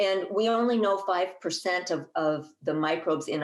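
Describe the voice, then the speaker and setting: Speaking at a fairly slow pace with ordinary pitch variation, a woman is heard in a room with audible echo. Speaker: herbalist and master gardener speaking at a conference. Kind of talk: conference talk. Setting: conference presentation. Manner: halting, with fillers and restarts.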